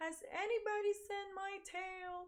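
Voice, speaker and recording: The squeaky, put-on character voice goes at a fairly slow pace. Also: woman. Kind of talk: picture book read-aloud. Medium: read story. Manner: fussy, complaining.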